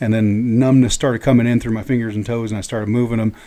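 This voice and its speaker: A dark, mellow tone with an American accent. The pace is very fast. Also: man. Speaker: professional wrestler. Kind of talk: casual interview chat. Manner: halting, repeats words.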